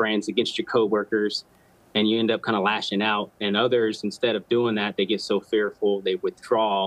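Keeping his intonation fairly even, a man talks at a moderate pace in a fairly low-pitched voice. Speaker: military veteran and first responder; guest. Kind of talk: interview. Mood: earnest, reflective. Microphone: video call.

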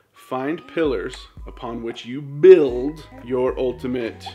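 Speaking very slowly, a man is heard with music behind him. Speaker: weight loss vlogger. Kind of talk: vlog monologue. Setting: at home while feeding a baby. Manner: casual, conversational.

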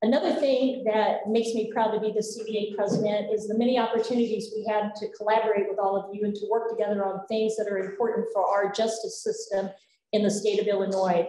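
A woman at a fairly quick pace with hardly any pauses, monotone, flat intonation and audible room echo. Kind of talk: welcome speech. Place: hall. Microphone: podium.

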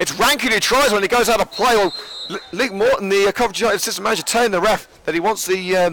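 Over noticeable background noise, a man speaks in a high pitch with an animated, excited tone and ordinary pitch variation. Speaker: football commentator. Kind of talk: live sports commentary, play-by-play. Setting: stadium press box at the ground. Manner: fast, animated, excited play-by-play; jokey, chatty between plays.

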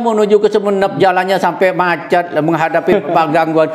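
A man's voice at a moderate pace. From Madura, Indonesia; Indonesia. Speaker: businessman and community organization leader; interviewee. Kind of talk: interview. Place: home room. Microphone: lapel.

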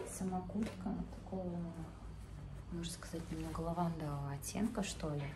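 A woman at a fairly low pitch and moderate pace, with clear background noise. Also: ordinary pitch variation.

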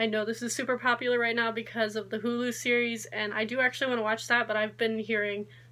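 A woman speaks at a fairly high pitch in a bright, sharp tone. Her intonation is monotone and flat. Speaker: book vlogger. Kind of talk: casual vlog. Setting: video recording. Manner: fast talker. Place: home room. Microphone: phone near.

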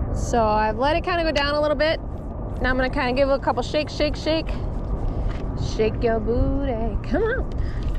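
Through noticeable background noise, a woman with a high pitch talks at very even loudness with long, frequent pauses. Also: ordinary pitch variation, moderate pace, dry sound with no echo. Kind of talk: casual vlog chat. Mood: playful, laughing. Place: boat.

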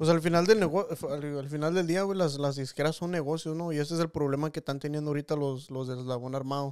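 In an ordinary speaking voice, a man talks at a fairly quick pace with hardly any pauses, a fairly high pitch and fairly even intonation. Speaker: podcast host. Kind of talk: casual interview chat. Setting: studio with cameras.

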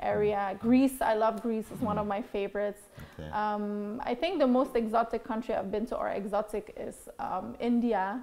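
At a moderate pace, a woman speaks with a fairly high pitch, fairly even intonation and a dark, mellow tone. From Belgium. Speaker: TV host and former beauty queen; TV host. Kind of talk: interview. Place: office.

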